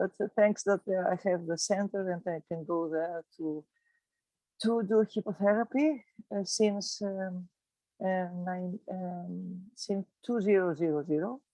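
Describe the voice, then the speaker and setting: A woman with a Greek accent, medium in pitch, at a fairly slow pace, with a dark, mellow tone, ordinary pitch variation and a dry, close sound with no echo. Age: 60s. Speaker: physiotherapist. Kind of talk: casual chat. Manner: halting.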